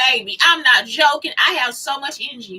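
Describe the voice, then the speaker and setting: Projecting her voice, a woman speaks at a high pitch in an animated tone. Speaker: vlogger. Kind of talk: casual monologue vlog. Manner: fast.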